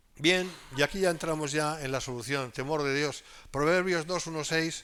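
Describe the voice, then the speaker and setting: Audible room echo surrounds a man speaking at a moderate pace. His fairly high voice has a bright, sharp tone and fairly even intonation. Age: 60s. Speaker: pastor. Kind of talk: sermon. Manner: conversational.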